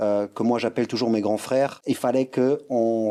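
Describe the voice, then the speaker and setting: The recording is very clean, and the background silent. A man speaks with a dark, mellow tone at a medium pitch. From Luxembourg. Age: 40s. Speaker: streetwear brand founder and former breakdancer. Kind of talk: podcast interview. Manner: hesitant, many fillers and restarts.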